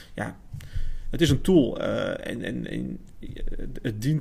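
Here is a man talking. His voice carries vocal fry. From Netherlands, Amersfoort. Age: 30s. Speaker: marketing specialist. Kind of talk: casual chat.

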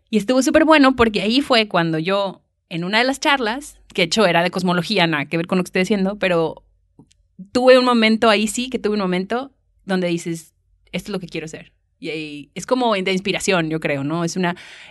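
A woman at a medium pitch, fairly quick pace and lively intonation. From northern Mexico, Monterrey. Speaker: astronomer. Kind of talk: casual chat. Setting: university library.

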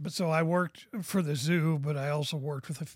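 A man with an American accent talks at a moderate pace in a fairly high, somewhat breathy voice with fairly even intonation. The recording is very clean, with a silent background. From US Pacific Northwest (Portland, Oregon). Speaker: author. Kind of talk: casual chat. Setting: studio.

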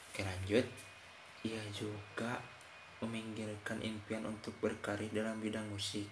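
A man's fairly low, monotone voice with flat intonation, at a fairly slow pace, with audible room echo and noticeable background noise. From West Java (Sundanese). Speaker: podcast host. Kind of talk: casual monologue with reading aloud. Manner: halting.

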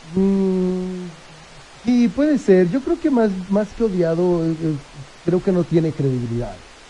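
A man at a very slow pace, high-pitched and lively in intonation, over noticeable background noise. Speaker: photographer and agency director. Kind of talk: radio interview.

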